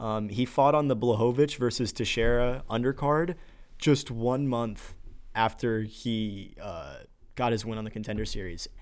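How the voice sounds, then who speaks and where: At a medium pitch and moderate pace, a man with a plain, everyday voice shows ordinary pitch variation in a very clean recording with a silent background. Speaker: MMA podcast co-host. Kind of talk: casual chat. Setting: studio.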